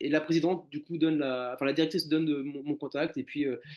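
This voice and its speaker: A man with a fairly high pitch speaks at a fairly quick pace. His intonation is fairly even. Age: 30s. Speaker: animal shelter caretaker. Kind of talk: casual interview conversation. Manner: hesitant, many fillers and repetitions.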